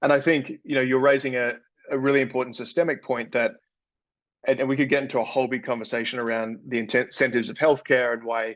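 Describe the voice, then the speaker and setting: With an Australian accent, a man at medium pitch talks at a very fast pace with fairly even intonation. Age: 30s. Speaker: health company CEO. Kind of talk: interview podcast. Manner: repeats words, halting.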